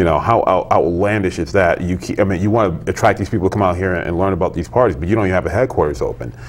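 With an American accent and a very deep, low voice, a man talks very fast with lively intonation and hardly any pauses. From Connecticut, Hartford; Connecticut. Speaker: political blogger. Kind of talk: casual political discussion. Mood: incredulous, critical. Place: studio. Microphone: lapel.

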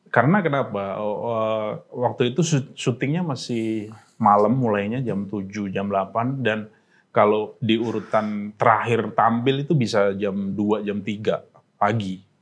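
A man's fairly low voice carries ordinary pitch variation as he talks at a very slow pace. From Pati, Central Java, Indonesia; Central Java, Indonesia. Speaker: stand-up comedian. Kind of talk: casual interview chat. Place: studio.

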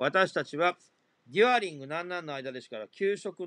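A man's bright, sharp voice, high in pitch, moves at a moderate pace with very wide pitch swings and a dry, close sound with no echo. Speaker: English exam tutor. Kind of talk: tutorial.

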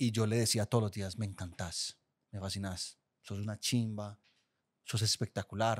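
In an Antioquian accent, a man speaks at a fairly slow pace with a fairly low pitch and monotone, flat intonation. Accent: Colombian paisa (Antioquia). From Colombia, Guatapé (Antioquia); Antioquia, Colombia. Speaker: podcast producer. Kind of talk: casual chat. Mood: open, relaxed, confessional. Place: studio. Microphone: studio mic.

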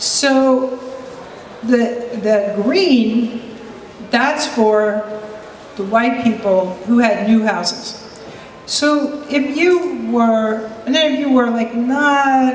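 Against light background noise and audible room echo, a woman speaks. Her pitch is fairly high, with ordinary pitch variation. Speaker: psychiatrist and urban researcher. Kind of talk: panel talk. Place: hall. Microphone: handheld.

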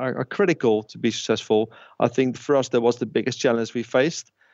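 With a Dutch accent, a man talks at a fairly quick pace using fairly even intonation. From Netherlands. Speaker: tech company founder and CEO. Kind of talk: interview. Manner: halting, with fillers and repetitions.

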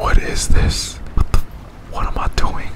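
A man whispers at a very slow pace. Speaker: gaming streamer. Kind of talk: casual gameplay commentary. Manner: profane, frustrated, rage-prone. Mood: frustrated, swearing, bursts of rage. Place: home room.

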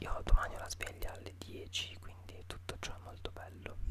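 Over loud background noise, a soft-spoken man talks at a moderate pace. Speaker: youtuber. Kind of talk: casual vlog chat. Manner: soft, hushed late-night ASMR voice. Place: home room. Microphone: studio mic.

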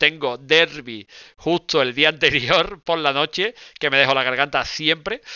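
A man talks at a moderate pace in an animated tone. His pitch sits fairly high. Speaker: anime news streamer. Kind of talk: live stream chat. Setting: live stream.

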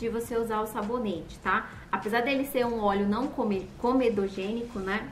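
A woman speaks at a moderate pace with fairly even intonation. The room echo is audible, and there is light background noise. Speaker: beauty vlogger. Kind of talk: product review tutorial. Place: home room. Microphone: phone near.

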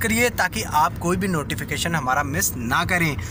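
Music plays in the background as a man speaks. The sound is dry, with no echo. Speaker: vlogger. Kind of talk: casual vlog chat. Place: car. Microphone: phone near.

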